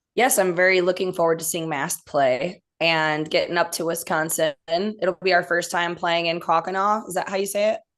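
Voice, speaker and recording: A woman with a Midwestern accent, fairly even intonation and hardly any pauses, over a quiet background. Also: fairly low pitch for a woman, moderate pace. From US Midwest. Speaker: rock band member. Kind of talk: casual interview.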